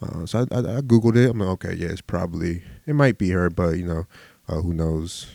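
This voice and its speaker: Speaking at a fairly quick pace with an American accent, a man uses a very deep, low voice with a dark, mellow tone and ordinary pitch variation. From Philadelphia, US. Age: 20s. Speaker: podcaster. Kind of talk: solo casual monologue.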